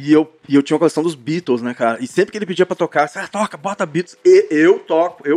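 A man rattles along at a very fast pace with hardly any pauses and a fairly high pitch. His pitch variation is ordinary, and the sound is dry and close with no echo. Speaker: rock band singer and guitarist. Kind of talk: casual chat.

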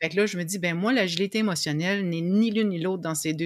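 A woman with a Quebec accent speaks at a fairly quick pace and fairly low pitch, with ordinary pitch variation. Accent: Québécois French. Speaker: emotional agility coach. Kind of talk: interview.

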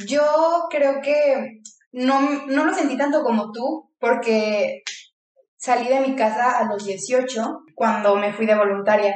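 A woman with a high pitch and ordinary pitch variation speaks very slowly amid audible room echo. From Mexico, León, Guanajuato. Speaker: podcast co-host. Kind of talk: casual chat.

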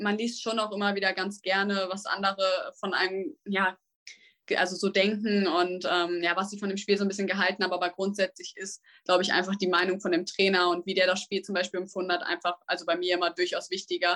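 A woman's fairly quick, medium-pitched speech in a monotone, flat intonation. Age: 18. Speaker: junior tennis player. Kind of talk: casual interview. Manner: hesitant with many fillers.

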